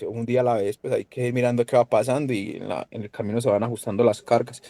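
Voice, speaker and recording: The sound is dry and close, with no echo. A dark, mellow voice speaks at a fairly quick pace. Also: man. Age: 30s. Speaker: university applicant, incoming medical student. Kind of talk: podcast interview. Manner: casual, profane.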